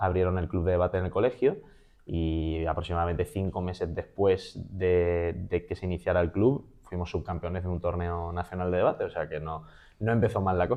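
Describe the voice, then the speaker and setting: A man with a very deep, low voice speaks at a fairly quick pace with ordinary pitch variation. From Spain, Málaga (Andalusia). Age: 20s. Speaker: public speaking champion and trainer. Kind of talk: interview conversation.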